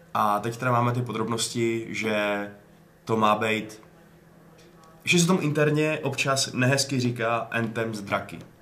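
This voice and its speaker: Over noticeable background noise, a man speaks at a fairly slow pace, medium in pitch with ordinary pitch variation. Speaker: podcast host. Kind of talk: casual chat.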